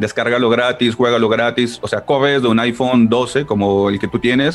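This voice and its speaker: Against noticeable background noise, a man speaks in a monotone, flat intonation at a moderate pace. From Colombia, Ibagué. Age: 30s. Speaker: video game company PR manager. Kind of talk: interview.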